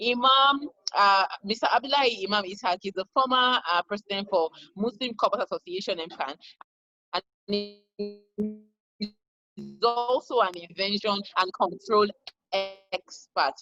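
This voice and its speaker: Fairly slow speech broken by long, frequent pauses, with music in the background. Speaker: event moderator. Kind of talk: moderating an online event.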